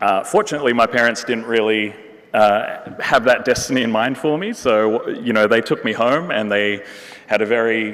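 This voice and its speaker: A man speaks with an Australian accent at a moderate pace. Noticeable background noise runs under his voice. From Western Australia, Perth. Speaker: neurorehabilitation researcher and physiotherapist. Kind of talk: conference talk. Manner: many fillers, hesitant.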